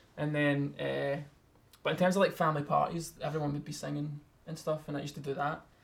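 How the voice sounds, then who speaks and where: Speaking very fast in a Scottish accent, a man with a fairly high, somewhat breathy voice keeps a monotone, flat intonation. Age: 20s. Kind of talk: casual chat.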